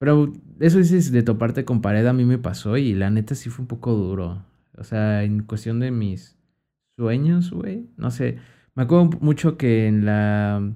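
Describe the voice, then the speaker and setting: The recording is very clean, with a silent background, as a man talks fairly slowly. His voice has a dark, mellow tone, medium pitch and lively intonation. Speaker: podcast co-host. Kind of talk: casual chat.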